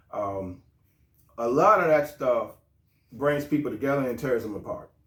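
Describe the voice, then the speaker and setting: A man with a plain, everyday voice speaks at a moderate pace, his pitch fairly high and his intonation lively. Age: 60s. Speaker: podcast host and police officer. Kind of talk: casual interview chat. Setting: studio.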